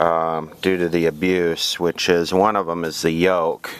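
A man's speech is heard with a dry sound and no echo. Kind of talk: tutorial. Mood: calm, matter-of-fact. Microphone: phone near.

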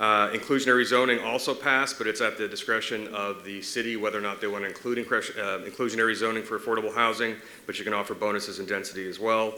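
A man's very fast, monotone delivery with flat intonation and hardly any pauses. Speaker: state legislator. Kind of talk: legislative update to city commission. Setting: city commission meeting.

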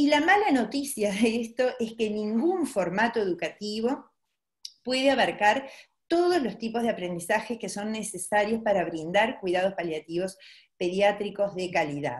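With lively intonation and a fairly high pitch, a woman speaks at a moderate pace. Her voice is somewhat breathy against a quiet background. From Uruguay. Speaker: pediatrician. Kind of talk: webinar presentation; lecture. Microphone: webcam.

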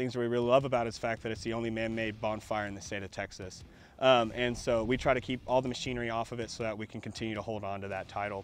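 With light background noise and a dry sound with no echo, a man talks at a very fast pace in a monotone, flat intonation, hardly pausing at all. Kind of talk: interview answer. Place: open country. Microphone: lapel.

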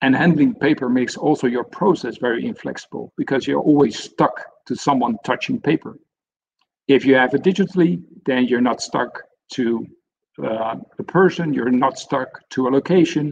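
This man talks at a moderate pace with a Dutch accent, lively intonation and vocal fry. Light background noise sits behind him. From Netherlands. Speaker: senior software consultant; webinar presenter. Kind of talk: webinar presentation. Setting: online webinar. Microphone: video call.

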